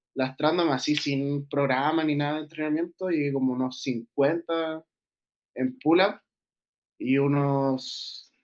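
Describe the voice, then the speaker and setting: Very slowly, a man with a Chilean accent talks in a fairly high voice with fairly even intonation. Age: 20s. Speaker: streetlifting athlete. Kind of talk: interview.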